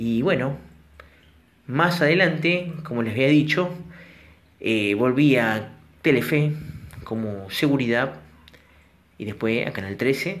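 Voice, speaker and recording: With audible room echo, a man speaks at medium pitch and a very slow pace, leaving long, frequent pauses. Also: lively intonation. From Argentina, La Plata. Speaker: storytelling vlogger. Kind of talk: storytelling monologue; listener shout-outs. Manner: casual.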